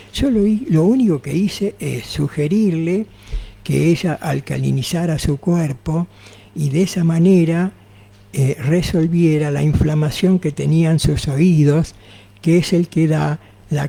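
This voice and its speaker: Amid noticeable background noise, a man with a fairly high pitch speaks at a very slow pace with ordinary pitch variation. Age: 80s+. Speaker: naturopath. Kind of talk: radio interview.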